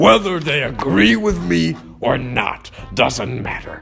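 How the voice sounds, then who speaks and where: A man puts on a character voice at a medium pitch, swinging very widely up and down while speaking at a fairly slow pace over clear background music. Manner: loud, blustering.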